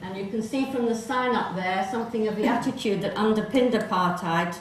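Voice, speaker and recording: A woman's medium-pitched voice with fairly even intonation, audible room echo and noticeable background noise. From South Africa, Johannesburg. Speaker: presenter telling family history. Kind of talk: presentation to festival audience.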